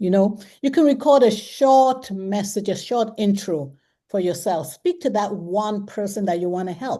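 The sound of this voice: Her tone is dark and mellow, with a medium pitch. The woman speaks at a fairly slow pace with ordinary pitch variation.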